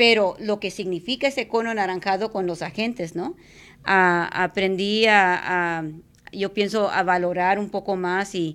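A woman talks in a plain, everyday voice at a medium pitch and a fairly slow pace. Her intonation stays fairly even. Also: very clean recording, silent background. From South Texas (Mercedes, border). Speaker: radio host and immigrant rights activist. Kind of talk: casual chat.

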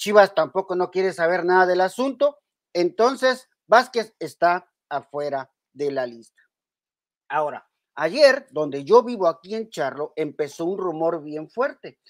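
A woman speaks at a fairly slow pace with very wide pitch swings, recorded with a dry, close sound and no echo. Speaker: football channel host. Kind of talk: casual sports commentary vlog. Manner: halting, repetitive.

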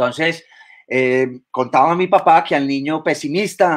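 A man talks in an ordinary speaking voice. The background is quiet. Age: 50s. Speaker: biologist and university lecturer; university lecturer. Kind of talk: lecture. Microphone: webcam.

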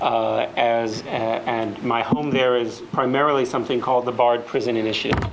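Light background noise behind a man talking at a fairly quick clip. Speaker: panel moderator. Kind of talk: public talk introduction. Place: hall.

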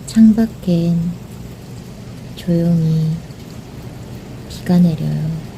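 Her pitch is fairly low for a woman. Noticeable background noise runs underneath. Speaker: channel owner, narrator. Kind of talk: soothing rain ASMR narration. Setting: recorded narration over real rain sounds. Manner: soft, gentle, intimate.

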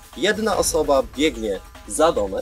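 Clear music plays in the background as a man speaks, his voice dry with no echo. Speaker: game host. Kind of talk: announcing game rules to a group. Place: open country.

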